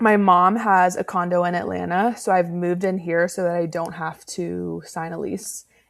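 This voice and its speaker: A woman with an American accent, a fairly low pitch, monotone, flat intonation, a moderate pace and hardly any pauses. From Georgia, US South. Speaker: podcast host. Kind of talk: casual chat.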